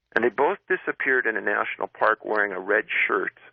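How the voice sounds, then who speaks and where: A man at a fairly slow pace. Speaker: author and researcher of missing persons cases. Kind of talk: radio interview answer. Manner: conversational, with hesitations.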